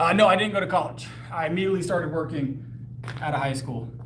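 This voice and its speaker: A man with an American accent talks at a very fast pace with lively intonation. Audible room echo and noticeable background noise surround his voice. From US South (Texas and South Carolina). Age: 30s. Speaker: powerlifter and fitness trainer. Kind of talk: casual live stream chat while working out. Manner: articulate, clear speaker.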